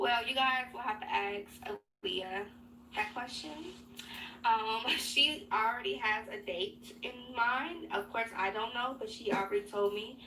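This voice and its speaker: A woman with an American accent, a bright, sharp tone and a fairly high pitch, at a fairly slow pace with ordinary pitch variation and audible room echo. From Chicago, South Side. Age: 20s. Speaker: beauty youtuber. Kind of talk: casual Q&A chat. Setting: home glam room. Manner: casual, filler-heavy.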